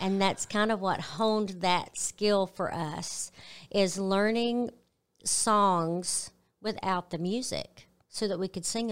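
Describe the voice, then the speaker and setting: On a very clean recording with a silent background, a woman with a Southern US accent speaks very slowly at a medium pitch with fairly even intonation. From Arkansas, US South. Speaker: gospel singer. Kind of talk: interview. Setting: studio.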